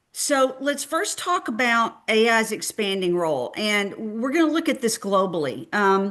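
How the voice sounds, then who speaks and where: A woman speaks at a moderate pace with a Texan accent and a fairly high pitch. Her pitch swings very widely while her loudness stays very even. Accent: Texan twang. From Texas. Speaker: clinical research industry speaker. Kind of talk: webinar presentation. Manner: halting, many fillers.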